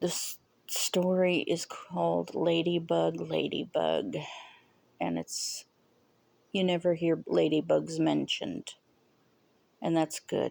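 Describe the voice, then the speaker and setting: Long pauses break in frequently. The delivery is very slow. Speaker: movie reviewer. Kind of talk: casual monologue review. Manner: hesitant, rambling with fillers.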